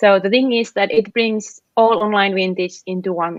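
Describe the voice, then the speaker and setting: Speaking at a moderate pace with a Finnish accent, a woman uses a medium pitch and ordinary pitch variation. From Finland. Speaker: app founder. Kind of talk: interview. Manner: halting, many fillers.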